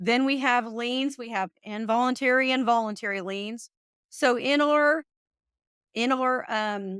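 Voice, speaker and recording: A woman speaks with a Kentucky accent at a high pitch. Her pace is fairly slow. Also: ordinary pitch variation. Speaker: real estate exam tutor. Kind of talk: live study session. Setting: live webinar.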